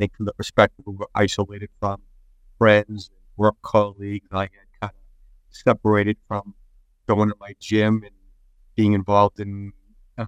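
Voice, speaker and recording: Speaking with a Boston accent, a man uses a fairly low, monotone, flat voice at a moderate pace, with big swings in loudness, long, frequent pauses and a dry, close sound with no echo. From Boston, Massachusetts. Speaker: deacon and author. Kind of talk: interview about a book.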